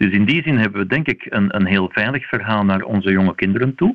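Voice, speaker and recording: Fairly low in pitch, a man talks in an ordinary speaking voice with ordinary pitch variation. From Belgium. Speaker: vaccination specialist, university professor. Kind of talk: radio interview.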